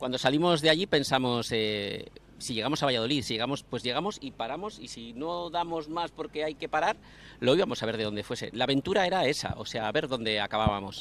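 A man speaks at a fairly quick pace with lively intonation. The sound is dry, with no echo. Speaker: fan group member; interview guest. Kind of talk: interview. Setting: outdoors. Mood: relaxed, anecdotal storytelling. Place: street. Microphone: handheld.

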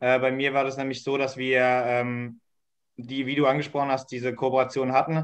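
In a quiet setting, a man speaks at a moderate pace with monotone, flat intonation. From Palatinate, Germany; Germany. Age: 20s. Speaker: youth spokesperson. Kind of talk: online panel discussion; panel discussion answer. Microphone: video call.

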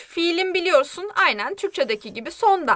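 A woman uses a raised, projected voice at an extremely high pitch. Her bright, sharp tone leaps through very wide pitch swings. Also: dry, close sound with no echo. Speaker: Korean language teacher. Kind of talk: language lesson. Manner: animated.

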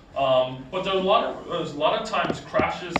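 A man's voice with ordinary pitch variation, audible room echo and noticeable background noise. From Essex, New England. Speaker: heart transplant recipient speaker. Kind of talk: school presentation. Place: classroom. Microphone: camera far.

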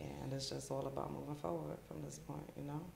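The speaker has a New York accent. Light background noise and audible room echo are present. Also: woman. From New York, the Bronx. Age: 40s. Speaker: children's author; podcast guest. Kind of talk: interview. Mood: reflective, calm. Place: studio.

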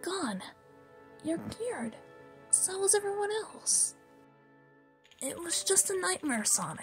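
A put-on character voice at a fairly slow pace, with clear music in the background. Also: woman, extremely high pitch for a woman. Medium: dub. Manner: soft, reassuring.

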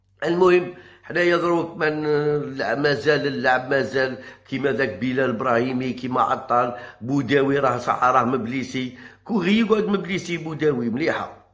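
A man's voice holds a very even loudness and ordinary pitch variation over a quiet background. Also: fairly slow pace. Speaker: football commentator vlogger. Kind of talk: football news commentary, partly read.

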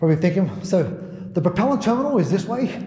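A man speaking fairly quickly amid audible room echo. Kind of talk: casual vlog chat. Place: tunnel cave.

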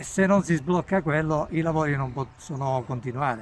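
A man speaks at a moderate pace, with a dry sound with no echo and light background noise. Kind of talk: interview answer. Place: street.

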